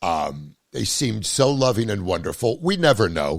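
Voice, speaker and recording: A man speaks with vocal fry at a fairly slow pace. His pitch swings very widely. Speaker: podcast host; comedian. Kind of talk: casual podcast conversation.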